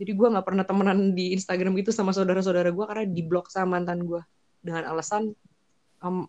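Animated in tone, a woman speaks at a very fast pace with a medium pitch. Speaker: guest sharing personal experiences of a toxic relationship. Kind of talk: casual chat. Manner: animated, laughs often.

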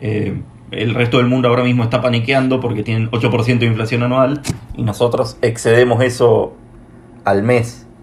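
Audible room echo surrounds a man speaking at a moderate pace. His medium-pitched voice has a monotone, flat intonation. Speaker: podcast host. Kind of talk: interview.

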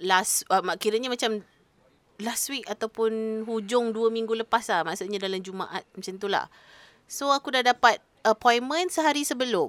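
This is a normal speaking voice at a moderate pace with ordinary pitch variation, recorded with a dry, close sound and no echo. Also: woman, fairly high pitch for a woman. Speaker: podcast co-host. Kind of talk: casual chat.

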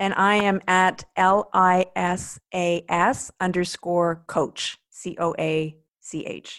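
Very slowly and with hardly any pauses, a woman speaks at a medium pitch in a flat monotone, the sound dry and close with no echo in a very clean recording over a silent background. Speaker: leadership coach and podcast co-host. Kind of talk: casual chat. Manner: hesitant.

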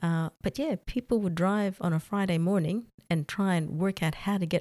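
A woman's fairly low voice in an Australian accent, with ordinary pitch variation, a moderate pace, dry close sound without echo, and a very clean recording over a silent background. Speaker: expat office worker. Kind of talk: casual interview.

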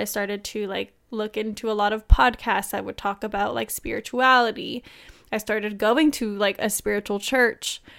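A woman with a plain, everyday voice speaks at a moderate pace and fairly high pitch, her intonation fairly even. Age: 20s. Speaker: podcast co-host. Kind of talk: casual chat.

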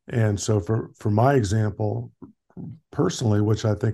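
Against a quiet background, a man speaks in a fairly low pitch with a dark, mellow, somewhat breathy tone. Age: 60s. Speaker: emergency physician and masters cyclist. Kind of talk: casual interview.

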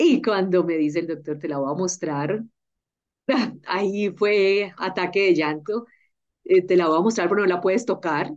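This woman's voice sits at a medium pitch with ordinary pitch variation. She talks at a fairly slow pace, leaving long, frequent pauses. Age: 40s. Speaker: health journalist. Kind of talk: casual interview chat. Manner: animated.

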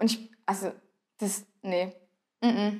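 Against a quiet background, a woman with a fairly high voice speaks at a moderate pace with fairly even intonation in an unremarkable speaking voice. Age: 20s. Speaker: carnival club dancer. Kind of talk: casual interview.

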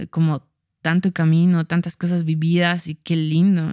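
A woman's fairly low, dark and mellow voice comes through a dry, close recording with no echo. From Bolivia, Cochabamba. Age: 30s. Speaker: fashion designer. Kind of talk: casual chat.

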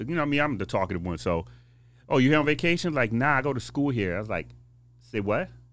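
A man's very fast speech with lively intonation and vocal fry. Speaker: nightclub owner. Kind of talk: casual chat.

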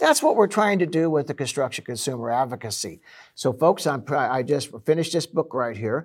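In an unremarkable speaking voice, a man with a fairly high pitch talks at a fairly quick pace with lively intonation, on a very clean recording with a silent background. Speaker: radio host. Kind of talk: casual interview.

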